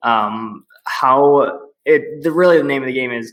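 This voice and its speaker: A man talks at a medium pitch. He has an American accent. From US Midwest, Milwaukee, Wisconsin. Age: 20s. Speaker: young entrepreneur. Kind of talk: podcast interview.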